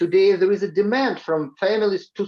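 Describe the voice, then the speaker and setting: A man with a high pitch and a Russian accent, at a moderate pace. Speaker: education professor. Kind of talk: panel presentation.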